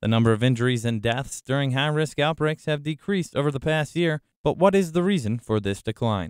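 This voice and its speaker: Lively intonation runs through a man's fairly high-pitched voice, an ordinary speaking voice. His speech comes at a fairly quick pace. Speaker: student meteorology reporter. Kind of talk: news report narration.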